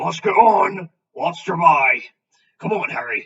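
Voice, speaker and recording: A raspy, put-on character voice at a fairly slow pace. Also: man. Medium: read story. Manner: rough, homely, hearty.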